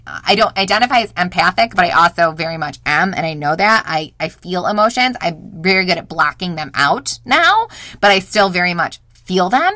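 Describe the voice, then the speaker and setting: A woman speaks at medium pitch with a bright, sharp tone. Her pitch varies in an ordinary way, and her pace is moderate. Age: 30s. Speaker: podcast host. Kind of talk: solo monologue. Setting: recording in a home closet. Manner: rambling.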